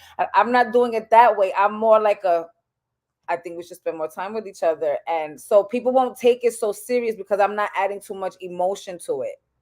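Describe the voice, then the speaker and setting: A woman talks at a fairly quick pace in a medium pitch with ordinary pitch variation. Her loudness swings widely. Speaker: podcast co-host. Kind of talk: casual chat. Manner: calm, unemotional delivery.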